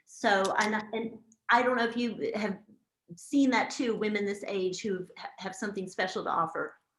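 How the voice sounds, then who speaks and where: A woman speaks at a moderate pace with a fairly high pitch and fairly even intonation, in an ordinary speaking voice. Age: 60s. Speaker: magazine editor and event host. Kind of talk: interview.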